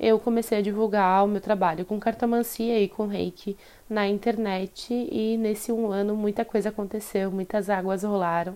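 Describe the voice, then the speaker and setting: A woman's fairly high voice with a dark, mellow tone, fairly even intonation and a moderate pace. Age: 20s. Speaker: podcast host, tarot reader and photographer. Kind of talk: solo casual monologue. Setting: solo recording.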